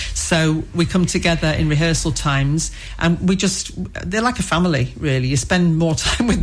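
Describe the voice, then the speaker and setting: A woman with a fairly low pitch speaks at a fairly quick pace, with ordinary pitch variation and very even loudness, over noticeable background noise. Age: 60s. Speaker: amateur theatre performer. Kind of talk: interview.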